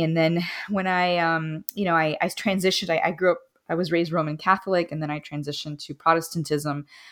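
A woman's an unremarkable speaking voice, fairly low in pitch and fairly quick, with an American accent, on a very clean recording against a silent background. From Miami, Florida (Cuban American community). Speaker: author and theologian. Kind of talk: interview. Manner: casual with frequent fillers and laughter.

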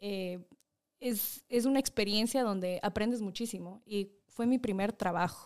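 A woman with a medium pitch talks at a fairly slow pace in a plain, everyday voice. Her intonation stays fairly even. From Ecuador. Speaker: public official. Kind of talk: casual interview.

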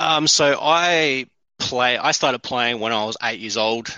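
A man with an Australian accent. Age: 30s. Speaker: courier and basketball fan. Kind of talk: casual chat.

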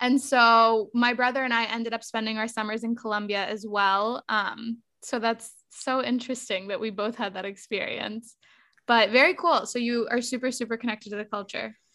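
Speaking at a moderate pace, a woman uses a bright, sharp tone at a fairly high pitch. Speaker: podcast host. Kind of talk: casual interview chat. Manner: upbeat and warm.

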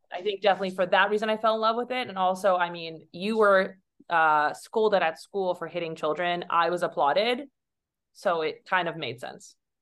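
A woman with a plain, everyday voice speaks fairly quickly at a medium pitch, with ordinary pitch variation. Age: 30s. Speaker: Olympic fencer and model. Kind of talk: casual chat.

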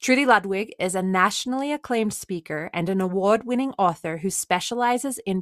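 On a very clean recording with a silent background and a dry, close sound with no echo, a woman at medium pitch speaks in a normal speaking voice. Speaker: podcast host. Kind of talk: interview with scripted intro.

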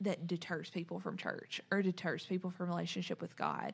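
A woman's somewhat breathy voice rests at a medium pitch. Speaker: podcast host. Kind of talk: casual chat.

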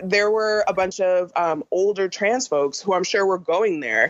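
A woman with an American accent talks in a normal speaking voice at a moderate pace. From New York and Orange County, California. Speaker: comedian. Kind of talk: casual interview chat.

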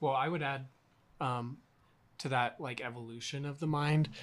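At a moderate pace, a man speaks in an unremarkable speaking voice of medium pitch, his intonation fairly even. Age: young. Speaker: school teacher. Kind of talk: casual chat. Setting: at a table in a home.

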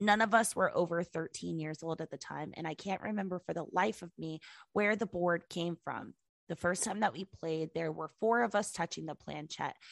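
Marked by vocal fry and big swings in loudness, the voice moves at a moderate pace with ordinary pitch variation in a dry, close sound with no echo and a quiet background. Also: woman. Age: 20s. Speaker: podcast co-host. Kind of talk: reading listener stories aloud. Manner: casual, laughing.

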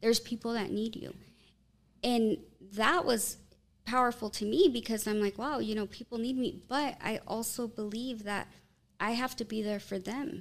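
A woman's fairly high voice, an ordinary speaking voice, at a moderate pace with ordinary pitch variation. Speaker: marketplace owner. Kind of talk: casual chat.

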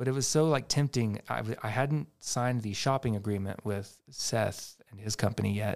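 A man with a medium pitch speaks at a fairly slow pace in a normal speaking voice, with ordinary pitch variation. The recording is very clean with a silent background. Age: 30s. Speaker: furniture flipper and musician. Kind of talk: casual chat.

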